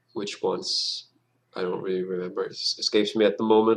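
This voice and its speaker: A man with a Danish accent talks at a fairly quick pace. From Denmark. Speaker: gaming YouTuber. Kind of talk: gameplay commentary. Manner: halting, many fillers and restarts.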